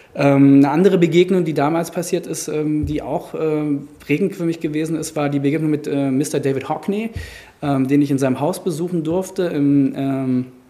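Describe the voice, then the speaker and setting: Over noticeable background noise, a man talks at a fairly slow pace, his fairly high pitch showing ordinary variation. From Germany, Frankfurt. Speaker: gallery owner. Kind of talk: interview. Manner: hesitant, many filler sounds.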